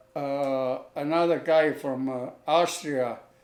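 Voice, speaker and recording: A man talks at a very slow pace with fairly even intonation. Noticeable background noise sits behind him. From Germany. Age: 80s+. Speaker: war-era immigrant, shoe repairer. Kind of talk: interview answer, life story.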